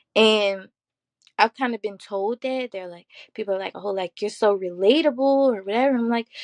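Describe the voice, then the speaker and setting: A woman with a Baltimore accent talks at a fairly quick pace with long, frequent pauses, a fairly high pitch, ordinary pitch variation and big swings in loudness, in a dry, close sound with no echo over a quiet background. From US, Baltimore. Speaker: mental health advocate, college student. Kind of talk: podcast interview. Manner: confident, assertive.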